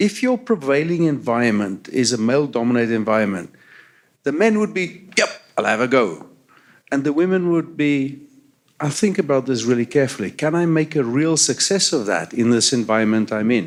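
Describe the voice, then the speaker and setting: A man with a South African accent talks at a fairly quick pace, his pitch medium. His loudness stays very even while his pitch swings very widely. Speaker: transit agency CEO. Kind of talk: panel discussion. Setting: stage with audience.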